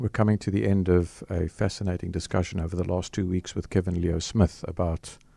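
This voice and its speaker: A man's very deep, low voice with a dark, mellow tone, at a moderate pace with ordinary pitch variation, in dry, close sound with no echo and a quiet background. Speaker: radio host. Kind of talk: radio interview. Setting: radio studio. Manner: animated, chatty.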